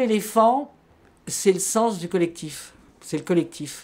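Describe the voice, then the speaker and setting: A woman speaking at a very slow pace, on a very clean recording with a silent background. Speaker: activist. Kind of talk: interview. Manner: halting.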